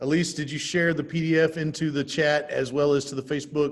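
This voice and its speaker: An unremarkable speaking voice from a man with an American accent, fairly high pitch, fairly even intonation and a fairly quick pace. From Texas. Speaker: real estate trainer. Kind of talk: workshop training session. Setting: video call with live stream.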